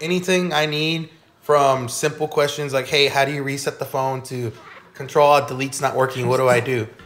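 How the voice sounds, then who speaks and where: At a fairly quick pace, a man with a fairly high pitch and fairly even intonation talks over noticeable background noise. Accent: American. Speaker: podcast guest. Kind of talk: casual chat. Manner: loud.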